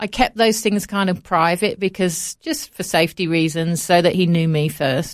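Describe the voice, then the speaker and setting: A woman with an English Midlands accent, medium pitch, ordinary pitch variation and a moderate pace. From Coventry, England. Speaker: charity founder. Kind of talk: casual interview. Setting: studio.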